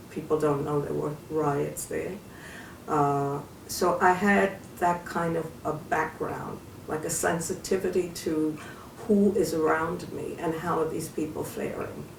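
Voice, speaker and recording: Against noticeable background noise and audible room echo, a woman with a very deep, low pitch speaks fairly slowly with fairly even intonation. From New York City, Harlem. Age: 70s. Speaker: retired social worker and community activist. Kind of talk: interview.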